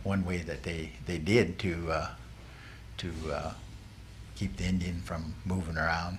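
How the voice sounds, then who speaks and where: Amid audible room echo, a man speaks in a very deep, low pitch with ordinary pitch variation. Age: 70s. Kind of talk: oral history interview. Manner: halting, many fillers and restarts.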